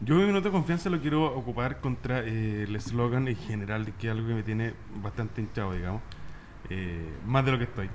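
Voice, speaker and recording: Over light background noise, a man with an unremarkable speaking voice speaks at a fairly quick pace, his medium pitch carried by lively intonation. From Chile, Valparaíso; Chile. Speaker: radio talk show host. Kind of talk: panel discussion. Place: studio. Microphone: studio mic.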